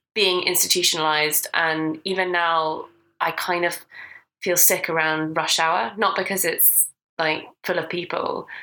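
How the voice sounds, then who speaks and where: In a Scottish accent, a woman with a fairly low pitch and a bright, sharp tone speaks at a fairly slow pace in a monotone, flat intonation with very even loudness. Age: 20s. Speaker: podcast co-host. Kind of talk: casual chat.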